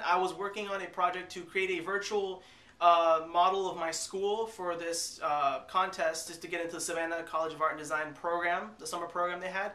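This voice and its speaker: Amid noticeable background noise, a man with a high pitch talks at a fairly quick pace in a monotone, flat intonation. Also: hardly any pauses. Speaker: vlogger. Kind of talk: casual storytelling to camera.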